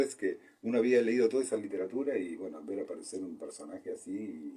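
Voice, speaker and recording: A man talks at a fairly quick pace. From Argentina. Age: 60s. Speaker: medical doctor. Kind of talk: interview. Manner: halting, many fillers and repetitions.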